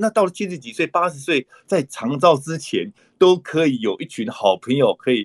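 A man talks at a moderate pace in a fairly high pitch, with vocal fry in his voice. His intonation is lively and his loudness swings widely. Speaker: dentist, author and conservation group founder. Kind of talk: interview conversation. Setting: online call. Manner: frequent hesitation fillers.

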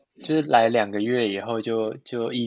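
Medium-pitched male speech at a moderate pace, fairly even in intonation, a plain, everyday voice. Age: 20s. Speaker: dancer. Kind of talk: casual interview chat.

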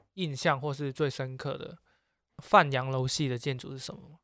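Against a silent background on a very clean recording, a man with a plain, everyday voice speaks at a fairly high pitch. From Macau. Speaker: podcast co-host. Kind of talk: casual chat.

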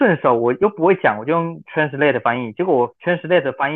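A man with fairly high pitch, ordinary pitch variation, and an unremarkable speaking voice. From Taiwan. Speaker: language school student. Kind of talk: casual chat.

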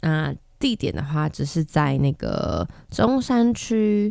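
A woman is speaking. The background is quiet. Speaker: podcast host. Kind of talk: casual monologue.

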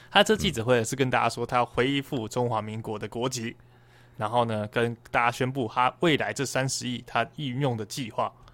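An ordinary speaking voice from a man, medium in pitch, at a moderate pace with fairly even intonation. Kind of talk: casual chat.

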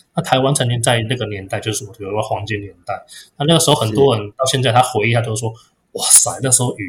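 A man's medium-pitched, somewhat breathy voice at a very fast pace, with ordinary pitch variation and big swings in loudness. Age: 40s. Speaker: guppy breeder. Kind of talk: interview. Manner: halting, frequent repeated words.

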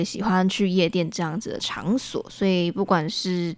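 Speaking fairly slowly at a medium pitch, a woman uses a plain, everyday voice on a very clean recording with a silent background. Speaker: radio station staff member. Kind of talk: casual interview.

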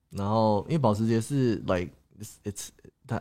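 On a very clean recording with a silent background, a man talks in a dark, mellow tone with lively intonation. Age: 20s. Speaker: YouTuber and crypto investor. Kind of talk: livestream chat. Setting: livestream. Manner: code-switching with English.

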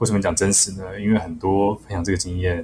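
Noticeable background noise sits behind speech delivered at a fairly quick clip. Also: man. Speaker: aviation graduate and pilot, part-time instructor. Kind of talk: casual interview chat.

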